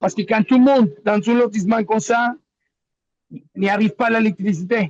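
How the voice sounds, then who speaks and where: A man speaks at a high pitch and a fairly quick pace, with ordinary pitch variation and very even loudness. The sound is dry and close with no echo. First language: Spanish (speaking French). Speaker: local resident in disaster zone. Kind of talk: webinar testimony. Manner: halting.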